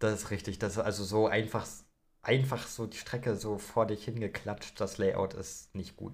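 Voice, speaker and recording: Somewhat breathy speech at a moderate pace with fairly even intonation. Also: man, fairly low pitch for a man. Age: 20s. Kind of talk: casual chat.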